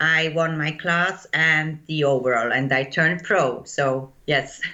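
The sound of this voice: With audible room echo, a woman speaks slowly in a low pitch and a bright, sharp tone, keeping her intonation fairly even.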